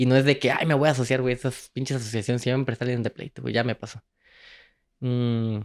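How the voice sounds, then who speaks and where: Against a quiet background, the voice moves at a fairly quick pace with fairly even intonation. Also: man. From Mexico, Guanajuato (Moroleón); Guanajuato, Mexico. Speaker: travel content creator and entrepreneur; travel content creator. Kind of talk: casual chat. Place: studio. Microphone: handheld.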